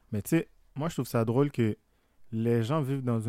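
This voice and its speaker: A man with a Haitian accent speaks at a moderate pace and medium pitch, his tone dark and mellow with fairly even intonation. The recording is very clean, with a silent background and a dry, close sound free of echo. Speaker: podcast co-host. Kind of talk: casual chat.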